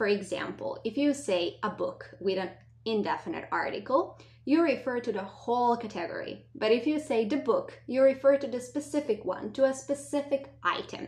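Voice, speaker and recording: A woman speaks at a moderate pace with a non-native accent. Her voice is high-pitched with lively intonation. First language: not English. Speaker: language teacher. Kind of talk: lesson.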